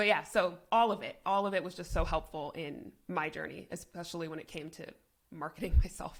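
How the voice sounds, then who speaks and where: Vocal fry marks this woman's fairly low voice. She talks at a fairly quick pace with ordinary pitch variation. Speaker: business consultant. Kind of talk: interview. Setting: podcast. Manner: speaks in a lower register.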